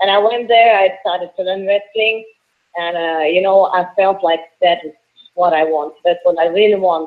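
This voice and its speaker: A woman speaks with a strong Russian accent. Her pitch is medium and her intonation fairly even. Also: moderate pace. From Russia, Moscow. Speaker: professional wrestler. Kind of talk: interview. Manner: halting.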